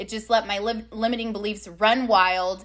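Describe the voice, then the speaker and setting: Loud and bright, with a sharp tone, a woman with an American accent talks at a moderate pace and a fairly high pitch. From California (Long Beach). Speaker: life and success coach. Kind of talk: casual interview chat.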